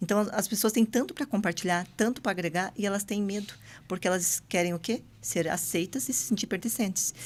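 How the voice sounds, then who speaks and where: A somewhat breathy woman's voice at a medium pitch, in a very clean recording with a silent background. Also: ordinary pitch variation, fairly quick pace. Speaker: entrepreneur guest. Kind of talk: podcast interview. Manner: fast.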